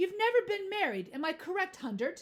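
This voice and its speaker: Squeaky and extremely high, a woman's put-on character voice comes through. The pace is fairly quick. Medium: read story. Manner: pushy, interrogating.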